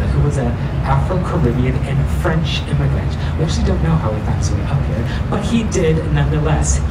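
Loud background noise sits behind a voice moving at a moderate pace. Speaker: tour guide. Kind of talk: guided tour commentary. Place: boat.

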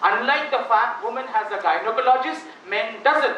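An extremely high-pitched man's raised, projected voice at a fairly quick pace, with audible room echo and light background noise. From Assam, India. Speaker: motivational speaker. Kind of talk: motivational talk to students. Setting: auditorium with student audience. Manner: animated. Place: hall. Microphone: podium.

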